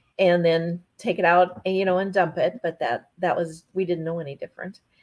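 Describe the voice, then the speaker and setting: The speaker is a woman with an Upper Midwest accent and a fairly low pitch. She talks at a fairly quick pace. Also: fairly even intonation. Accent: Upper Midwest American. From North Dakota. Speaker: ranch wife and administrative assistant. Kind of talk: casual interview chat.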